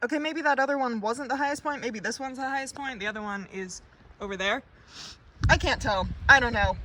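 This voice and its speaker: A woman's raised, projected voice, high in pitch, fairly quick, with ordinary pitch variation. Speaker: travel vlogger. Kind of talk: casual talk to camera. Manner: mumbling.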